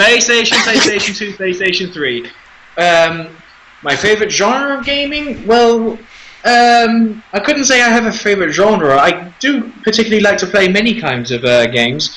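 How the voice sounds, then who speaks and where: A high-pitched man's raised, projected voice with lively intonation, at a moderate pace over noticeable background noise. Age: 20s. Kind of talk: casual chat. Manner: halting.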